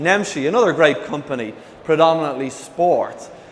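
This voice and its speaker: A man with an Irish accent and a fairly high pitch speaks with ordinary pitch variation, audible room echo and noticeable background noise. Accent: Irish lilt. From Ireland. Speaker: e-commerce executive, conference speaker. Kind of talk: conference presentation. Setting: stage with audience. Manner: energetic, hyperactive.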